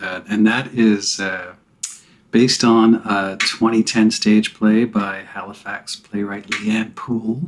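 A man with an American accent at medium pitch, very slow and monotone with flat intonation, against a quiet background. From New Jersey (Bergen County), near New York; New Jersey. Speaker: filmmaker; podcast guest. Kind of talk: casual interview. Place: home room.

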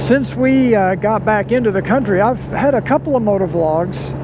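Noticeable background noise with a dry sound and no echo. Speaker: motovlogger. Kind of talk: casual vlog chat. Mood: cheerful, amused. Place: motorbike. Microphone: helmet.

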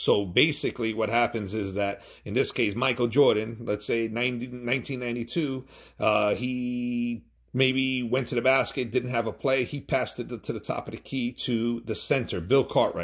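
An unremarkable speaking voice from a man, medium in pitch, with fairly even intonation at a moderate pace against a quiet background. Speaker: board game tutorial maker. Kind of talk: tutorial. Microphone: phone near.

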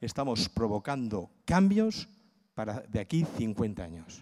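Over a quiet background, a man speaks with very wide pitch swings. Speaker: cultural management consultant and lecturer; conference speaker. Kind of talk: conference talk. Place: hall. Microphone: handheld.

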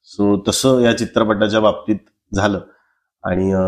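In a fairly low pitch, a man talks with monotone, flat intonation. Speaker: film actor. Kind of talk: casual interview chat. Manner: soft-spoken; calm, gentle. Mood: reflective, earnest. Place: home room. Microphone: lapel.

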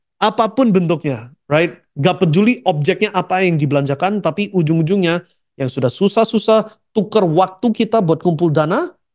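Over a quiet background, a man with a high pitch and lively intonation speaks at a moderate pace. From abroad. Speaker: online business trainer; investment educator. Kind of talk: webinar presentation; lecture. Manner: code-switching with English fillers.

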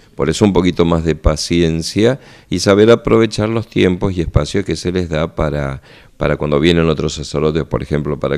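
A man speaks with a very deep, low pitch and vocal fry. The background stays quiet. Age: 50s. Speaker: parish priest. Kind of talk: radio interview segment with parish announcements. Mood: friendly, calm. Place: office. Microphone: handheld.

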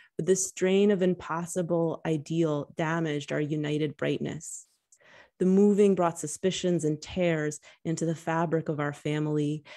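In an American accent, a woman with a fairly low, dark, mellow voice speaks at a moderate pace in a monotone, flat intonation against a quiet background. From New York, then Cyprus. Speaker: essayist and English professor; English professor. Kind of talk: reading aloud. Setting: video call. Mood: calm, reflective. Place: home room. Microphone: studio mic.

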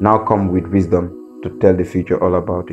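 A man speaks with a West African accent at a moderate pace. Music plays in the background. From Gambia. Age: 20s. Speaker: spoken word poet. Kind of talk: spoken word poetry performance.

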